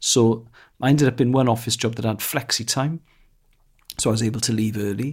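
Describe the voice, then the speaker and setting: On a very clean recording with a silent background, a man speaks in a Welsh accent. His medium-pitched voice is somewhat breathy, with fairly even intonation. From Wales. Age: 40s. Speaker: comedian. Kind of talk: casual chat.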